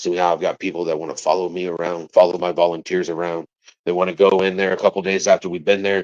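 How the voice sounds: A man speaks at a fast pace in a low pitch. His tone is slightly mellow, with little pitch movement.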